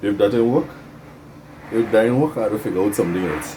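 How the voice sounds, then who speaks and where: Against noticeable background noise, a man's fairly low voice shows ordinary pitch variation. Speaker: bonsai hobbyist video host. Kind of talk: casual DIY tutorial.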